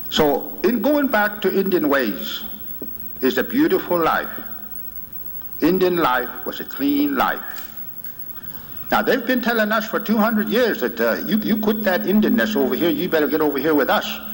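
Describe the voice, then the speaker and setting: A man with an American accent and a high pitch, moderate pace, very wide pitch swings, very even loudness and long, frequent pauses. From Oklahoma, Muscogee Creek. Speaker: spiritual leader. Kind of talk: speech.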